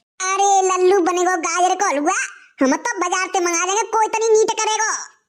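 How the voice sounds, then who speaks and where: In a squeaky, cartoonish character voice, a woman speaks at an extremely high pitch. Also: moderate pace, ordinary pitch variation. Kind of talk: rustic cartoon comedy. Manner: homely, motherly.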